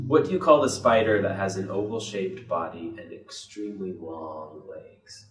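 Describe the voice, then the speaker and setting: A man's fairly low voice with an American accent, lively intonation, big swings in loudness and hardly any pauses, with audible room echo and faint music in the background. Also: moderate pace. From Midwestern US. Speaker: interviewer. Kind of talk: interviewer. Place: home room. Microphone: camera far.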